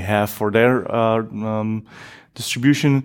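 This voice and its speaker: A man with a Polish accent speaks at a fairly low pitch on a very clean recording with a silent background. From Poland. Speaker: software engineer and community expert. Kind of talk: interview conversation. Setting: at a tech conference.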